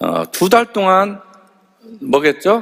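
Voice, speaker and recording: Pitched high, a man talks in an animated tone with lively intonation. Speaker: health supplement sales lecturer. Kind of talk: lecture. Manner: fast.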